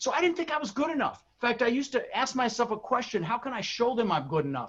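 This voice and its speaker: Very fast and animated, a man speaks with lively intonation. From Denver, Colorado. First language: Dutch. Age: 60s. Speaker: real estate investor and coach. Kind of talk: motivational talk.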